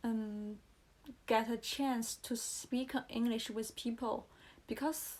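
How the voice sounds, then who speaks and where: With a Chinese accent, the speaker keeps fairly even intonation at a very slow pace. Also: woman. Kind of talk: casual talk to camera. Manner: slow, hesitant.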